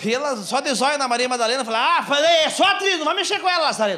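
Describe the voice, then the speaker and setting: Over light background noise, a man speaks in a raised, projected voice with an animated tone, lively intonation and a fairly quick pace. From Brazil. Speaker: stand-up comedian. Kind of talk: stand-up comedy set, storytelling with acted-out bits. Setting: stage with audience, small theatre. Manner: animated, fast, punchy storyteller; plays characters with mimicry and sound effects. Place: stage. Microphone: handheld.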